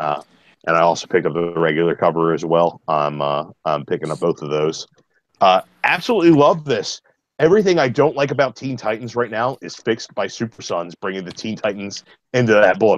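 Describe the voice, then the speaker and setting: Speaking at a fairly quick pace, a man with an American accent uses a fairly low pitch that swings very widely. The sound is dry and close, with no echo. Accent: slight Baltimore accent, mostly concealed. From US, Baltimore, Maryland. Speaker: comic book reviewer. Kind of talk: casual chat, comic review.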